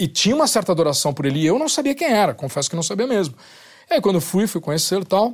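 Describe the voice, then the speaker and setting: A man talks at a very fast pace. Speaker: writer and musician. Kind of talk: casual chat.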